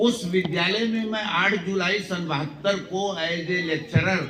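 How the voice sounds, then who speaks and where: Noticeable background noise and audible room echo surround the recording. A man talks in a high pitch with ordinary pitch variation. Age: 70s. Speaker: retired lecturer. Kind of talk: speech to students.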